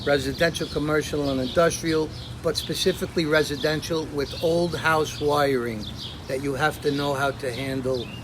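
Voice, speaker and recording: A man with an American accent speaks at a moderate pace in a fairly high pitch, his intonation fairly even, over noticeable background noise. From New Jersey (South Orange, Little Falls), born Brooklyn. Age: 50s. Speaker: electrician, business owner. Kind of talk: live commercial interview.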